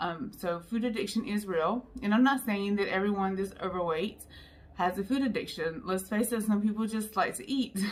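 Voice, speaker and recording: At a moderate pace and with ordinary pitch variation, a woman speaks in a somewhat breathy voice. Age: 40s. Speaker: YouTuber sharing weight-loss story. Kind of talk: personal vlog testimony. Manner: casual with frequent fillers.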